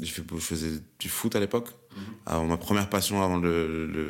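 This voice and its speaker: A man speaks at a moderate pace in a very deep, low voice with fairly even intonation. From France, Amiens. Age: 20s. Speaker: rapper and beatmaker. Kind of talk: casual interview.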